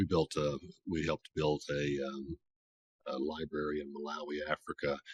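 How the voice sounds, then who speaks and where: A man with an American accent speaks at a very deep, low pitch, the sound dry and close with no echo. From US South, Tennessee, Appalachia. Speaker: author and conference organizer. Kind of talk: talk with Q&A at writers' meeting.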